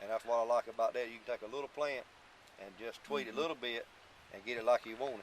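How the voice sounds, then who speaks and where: A man talks at a very fast pace in an eastern North Carolina accent, his loudness swinging widely. His pitch is medium with ordinary variation. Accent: Southern US, eastern North Carolina. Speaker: tobacco farmer. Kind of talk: interview answer. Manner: casual, emphatic.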